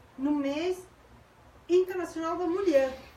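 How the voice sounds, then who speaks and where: Noticeable background noise sits behind the speaker. A woman talks with ordinary pitch variation. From Uruguay. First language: Spanish (speaking Portuguese). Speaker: sociologist, graduate student. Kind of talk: panel debate.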